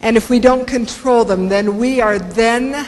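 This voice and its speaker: A woman with an American accent at a fairly slow pace, ordinary pitch variation, audible room echo and noticeable background noise. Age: 60s. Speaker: motivational speaker. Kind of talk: keynote speech. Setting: stage with audience.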